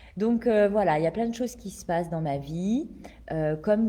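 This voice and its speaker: The woman's voice has a dark, mellow tone. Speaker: life coach and entrepreneur. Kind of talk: casual live video talk. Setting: greenhouse, livestream. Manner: hesitant, many fillers. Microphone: echoing room.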